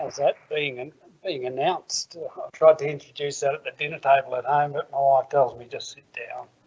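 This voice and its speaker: An Australian man with a fairly high pitch talks at a moderate pace in monotone, flat intonation, with big swings in loudness. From Australia, Canberra. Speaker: businessman and festival speaker. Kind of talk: public talk.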